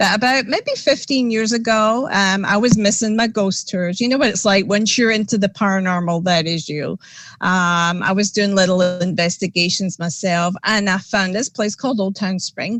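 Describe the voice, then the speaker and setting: In a Scottish accent, a woman speaks at a moderate pace with hardly any pauses and ordinary pitch variation. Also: medium pitch for a woman. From Scotland. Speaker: paranormal investigator. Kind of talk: casual interview chat. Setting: podcast livestream.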